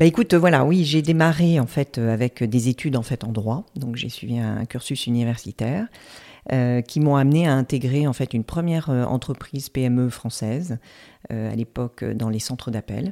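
A woman speaks at a moderate pace in a very deep, low voice with a dark, mellow tone, recorded very cleanly with a silent background and a dry, close sound that has no echo. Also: ordinary pitch variation. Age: 50s. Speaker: reflexologist and former HR director. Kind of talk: interview. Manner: hesitant.

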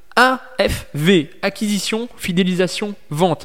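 A man with a high pitch. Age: 20s. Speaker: podcast host and online business coach. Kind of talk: sales pitch; solo motivational monologue.

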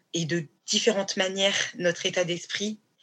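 Her bright, sharp tone and fairly low pitch mark this woman's voice, which moves at a fairly slow pace. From Paris region, France. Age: 30s. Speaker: fashion designer, brand founder. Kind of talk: casual interview. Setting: remote online recording.

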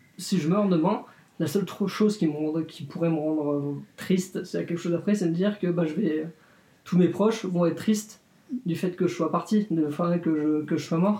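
Using fairly even intonation, a man with a high pitch talks at a moderate pace. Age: 20s. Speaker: interviewee sharing views on death. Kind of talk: interview testimony. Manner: hesitant.

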